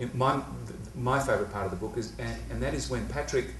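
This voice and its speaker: There is audible room echo and noticeable background noise as a man talks with an Australian accent. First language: not English. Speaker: comedian. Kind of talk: casual chat. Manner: halting.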